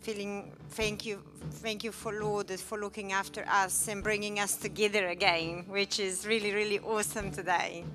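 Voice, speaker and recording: A woman talks at a moderate pace in a monotone, flat intonation. Clear music plays in the background. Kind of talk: personal testimony and thanks. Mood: emotional, grateful. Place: church. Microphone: handheld.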